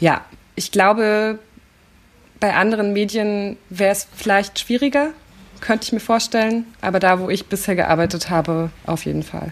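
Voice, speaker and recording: At a moderate pace and medium pitch, a woman speaks with ordinary pitch variation and long, frequent pauses. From East Berlin (Köpenick). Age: 30s. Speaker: journalist. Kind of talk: interview. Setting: visiting Hamburg.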